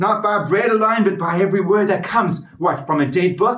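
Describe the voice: A plain read-aloud passage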